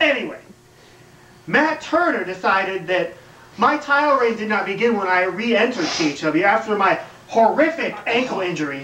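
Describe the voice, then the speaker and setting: A man's raised, projected voice amid audible room echo and light background noise. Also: moderate pace. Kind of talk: wrestling promo speech. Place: home room.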